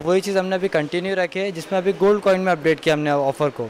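Over light background noise, a man speaks with a high pitch. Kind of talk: promotional interview statement. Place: shop. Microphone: handheld.

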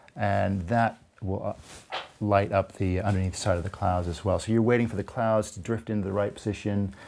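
A man at a moderate pace and fairly low pitch, in a monotone, flat intonation, with light background noise. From United States. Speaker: landscape photographer. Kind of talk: interview answer. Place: home room. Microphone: lapel.

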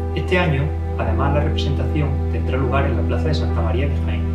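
Loud music plays in the background as the speaker talks at a very fast pace. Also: man. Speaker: physician and amateur theatre performer, town crier in a Holy Week passion play. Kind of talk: promotional talk to camera. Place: home room.

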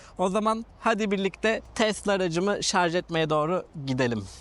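A fairly slow male voice over a quiet background. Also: dry, close sound with no echo. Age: 30s. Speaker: YouTuber, car vlogger. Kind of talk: vlog tutorial. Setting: outdoors.

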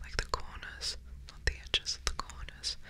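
A woman's breathy whispering in a calm tone. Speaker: ASMR creator. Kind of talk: ASMR whispered ramble. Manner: whispered, breathy; soft, slow, calm. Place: home room. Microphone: studio mic.

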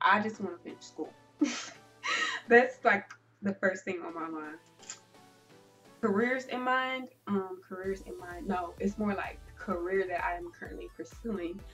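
A voice with an American accent speaks at a fairly slow pace with long, frequent pauses and lively intonation. Loudness swings widely, and faint music plays in the background. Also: woman. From United States. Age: young. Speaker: beauty vlogger. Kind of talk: casual talk to camera. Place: home room. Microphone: camera far.

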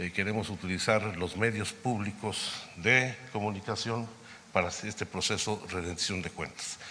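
Fairly low in pitch yet bright and sharp in tone, a man speaks at a fairly slow pace with fairly even intonation and light background noise. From Mexico. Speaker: government undersecretary. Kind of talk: press conference briefing. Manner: formal. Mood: serious, measured. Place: hall. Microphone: podium.

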